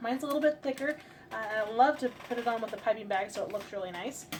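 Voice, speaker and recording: Quick-paced and high-pitched, a woman talks with an American accent and ordinary pitch variation. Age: 20s. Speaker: baker and bakery owner. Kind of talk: tutorial. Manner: hesitant with fillers.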